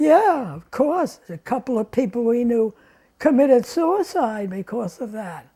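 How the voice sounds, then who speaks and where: With an American accent, the speaker has a dark, mellow tone and very wide pitch swings, along with big swings in loudness. The pace is fairly slow, on a very clean recording with a silent background. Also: woman, high pitch for a woman. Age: 80s+. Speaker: retired journalist. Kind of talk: interview answer.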